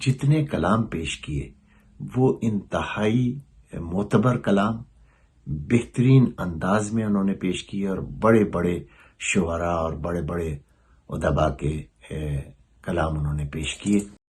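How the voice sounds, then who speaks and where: Very deep and low, a man's somewhat breathy voice moves with lively intonation. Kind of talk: documentary interview answer.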